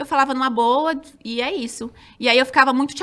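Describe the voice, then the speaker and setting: A woman projects a raised voice with a bright, sharp tone and high pitch. The recording is very clean, with a silent background. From São Roque, interior of São Paulo state, Brazil. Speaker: former TV dancer and reality show contestant. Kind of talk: casual interview chat.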